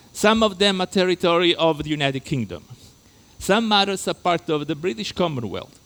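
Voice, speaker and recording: A man with a slight Italian accent, high in pitch, very wide pitch swings, and a moderate pace. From Italy. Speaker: lecturer. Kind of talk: lecture. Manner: halting.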